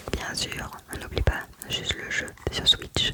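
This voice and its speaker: The voice is whispering. Noticeable background noise sits behind it. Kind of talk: casual ASMR talk to camera about a game collection.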